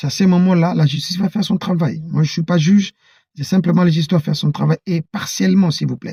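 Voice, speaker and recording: This man's voice sits high in pitch. He talks very fast. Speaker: political commentator. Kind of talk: political monologue. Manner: halting; animated.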